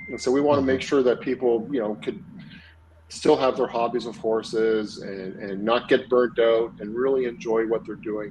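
Noticeable background noise sits behind the voice. A man speaks with a Canadian accent and ordinary pitch variation. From Montreal, Canada. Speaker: equine veterinarian. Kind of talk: interview.

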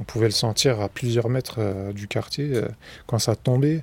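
On a very clean recording with a silent background, a man speaks at medium pitch with a somewhat breathy quality. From Bobigny, Seine-Saint-Denis, France. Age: 40s. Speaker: local resident. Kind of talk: documentary testimony. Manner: casual, hesitant.

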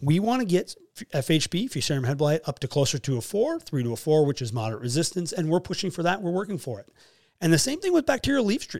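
Talking at a very fast pace, a man speaks with an American accent. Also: very clean recording, silent background. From US Upper Midwest, Fargo, North Dakota. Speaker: wheat breeding company agronomist. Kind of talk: casual interview.

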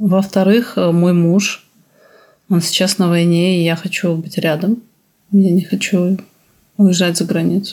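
A woman's very slow, somewhat breathy delivery, dark and mellow in tone, monotone and flat, with long, frequent pauses. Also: medium pitch for a woman. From Belarus. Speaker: psychoanalyst. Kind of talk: interview.

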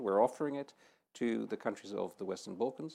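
Over a quiet background, a man with a Dutch accent and a dark, mellow tone speaks at a very fast pace with ordinary pitch variation. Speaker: EU official. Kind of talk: panel discussion. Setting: studio with audience.

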